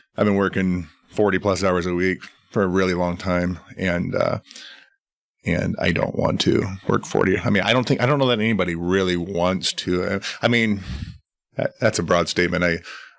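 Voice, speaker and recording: With a very deep, low voice, a man talks at a moderate pace in fairly even intonation, stopping often for long pauses. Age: 40s. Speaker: cancer survivor. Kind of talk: casual chat. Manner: halting.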